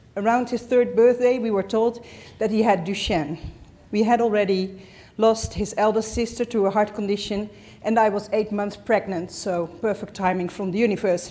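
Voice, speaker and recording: A woman with a Dutch accent, fairly high pitch, fairly even intonation and a moderate pace. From Netherlands. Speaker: parent of patient. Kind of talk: reading aloud.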